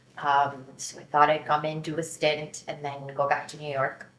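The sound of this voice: A woman's low-pitched voice at a moderate pace, fairly bright in tone, with little pitch movement and audible room echo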